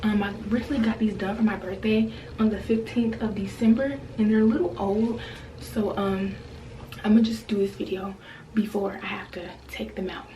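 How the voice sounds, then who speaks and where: Over noticeable background noise and audible room echo, a woman talks at a fairly quick pace with a fairly high pitch and fairly even intonation. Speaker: beauty vlogger. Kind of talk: tutorial. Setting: bathroom at home. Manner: casual, chatty with many fillers.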